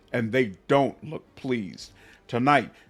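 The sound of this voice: Simply an unforced reading voice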